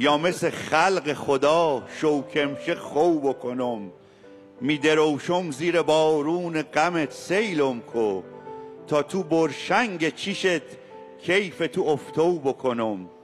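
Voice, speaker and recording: With music in the background, a man speaks very slowly at a fairly high pitch, his intonation lively and his loudness very even. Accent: Fars. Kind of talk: poetry reading.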